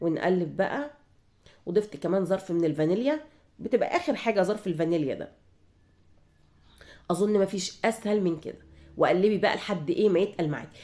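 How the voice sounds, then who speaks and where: Dark, mellow tone from a medium-pitched woman with lively intonation, a moderate pace and long, frequent pauses, on a very clean recording with a silent background. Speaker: home cooking channel host. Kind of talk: cooking tutorial. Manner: casual, conversational.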